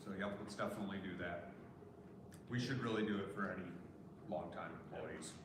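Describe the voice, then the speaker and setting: A man with a fairly low pitch speaks with fairly even intonation and long, frequent pauses. Audible room echo and noticeable background noise fill the recording. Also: fairly quick pace. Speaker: city council chair. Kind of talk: council meeting. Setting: council chambers with PA system. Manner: loud.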